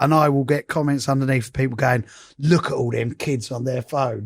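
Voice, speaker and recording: With an English accent, a man speaks at a moderate pace in a fairly high pitch. The recording is very clean, with a silent background. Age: 50s. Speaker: DJ and podcast host. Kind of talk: casual chat. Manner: animated.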